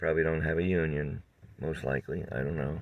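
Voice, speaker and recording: Very deep, low male voice with vocal fry, ordinary pitch variation and a moderate pace. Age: 70s. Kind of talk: casual talk to camera.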